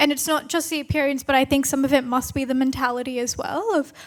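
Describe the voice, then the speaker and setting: The speaker talks in an Australian accent at a fairly quick pace with fairly even intonation. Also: woman. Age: young. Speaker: climate lawyer and activist. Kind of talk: panel discussion.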